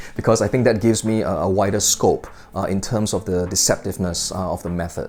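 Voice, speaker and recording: Amid noticeable background noise, a man races along at a very fast pace with fairly even intonation. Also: fairly low pitch for a man. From Singapore. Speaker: magic product reviewer. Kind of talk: casual review chat to camera. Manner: hesitant, many fillers.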